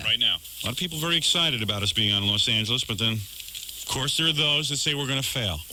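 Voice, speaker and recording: A man at medium pitch talking at a very fast pace with hardly any pauses, over noticeable background noise. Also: lively intonation. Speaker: radio show host. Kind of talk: morning radio show banter.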